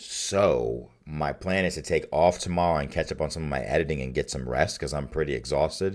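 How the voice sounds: A raspy, put-on character voice at a fairly quick pace with hardly any pauses. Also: man, very deep, low pitch for a man.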